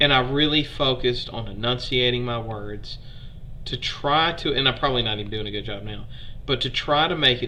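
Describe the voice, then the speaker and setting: A man with a strong Southern Alabama accent talks at a moderate pace in a medium pitch, his bright, sharp tone carrying vocal fry and ordinary pitch variation over audible room echo. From US South, Alabama. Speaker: history streamer. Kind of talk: live-stream history lecture. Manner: casual, conversational.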